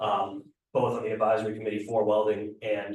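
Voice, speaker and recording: Somewhat breathy speech from a man, pitched fairly low. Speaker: welding program coordinator and instructor. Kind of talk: committee meeting presentation. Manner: fast.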